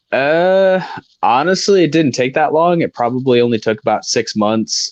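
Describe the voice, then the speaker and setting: Speaking with an American accent, a man uses lively intonation at a moderate pace. His loudness stays very even against a quiet background. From Rockford, Illinois. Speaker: livestream viewer joining the stream. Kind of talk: casual chat. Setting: livestream video call.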